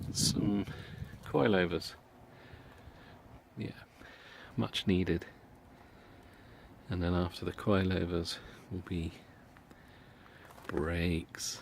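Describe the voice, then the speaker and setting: A man with a British accent and a very deep, low pitch talks very slowly in fairly even intonation, with long, frequent pauses. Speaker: car enthusiast. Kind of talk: casual talk to camera. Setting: outdoors.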